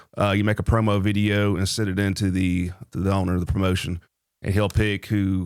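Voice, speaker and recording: A man with a Tennessee accent speaks fairly quickly in a fairly low, monotone voice with flat intonation. The recording is very clean, with a silent background. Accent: Tennessee Southern. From Nolensville, Tennessee. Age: 30s. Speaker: amateur boxer and Marine veteran. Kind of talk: casual interview chat.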